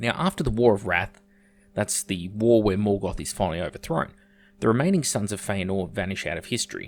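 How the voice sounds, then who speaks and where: This man speaks with an Australian accent and a fairly low pitch. He keeps a moderate pace. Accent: thick Australian. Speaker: YouTuber, lore explainer. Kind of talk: video essay. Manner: casual, occasional hesitations.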